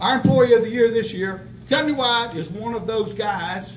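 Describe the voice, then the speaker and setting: Slow-paced man with a high pitch and ordinary pitch variation, amid audible room echo and noticeable background noise. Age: 70s. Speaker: company owner presenting awards. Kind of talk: award ceremony speech.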